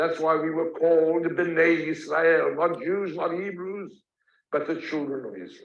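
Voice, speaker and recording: A man with a South African accent, high-pitched and monotone, at a fairly slow pace with big swings in loudness. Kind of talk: lecture. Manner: storytelling, conversational.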